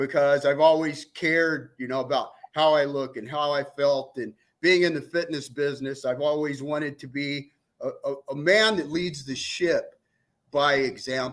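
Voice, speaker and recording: This man talks at a moderate pace in a normal speaking voice, fairly high in pitch, with fairly even intonation, on a very clean recording with a silent background. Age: 60s. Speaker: fitness coach. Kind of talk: casual chat.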